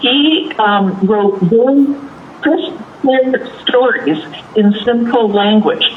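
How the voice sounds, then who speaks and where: A woman's intonation is lively, with noticeable background noise behind her. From Canada. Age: 70s. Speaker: children's author. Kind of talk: interview.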